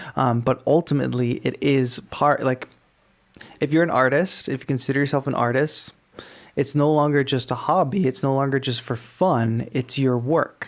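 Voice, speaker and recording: A man with an American accent, an ordinary speaking voice at medium pitch, fairly even intonation and a moderate pace. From Massachusetts. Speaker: music producer and call-in show host. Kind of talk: live call-in show.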